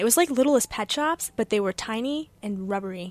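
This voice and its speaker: Hers is a plain, everyday voice, fairly high in pitch with ordinary pitch variation, moving at a fairly quick pace in a dry, close sound with no echo. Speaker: college radio host. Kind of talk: casual chat.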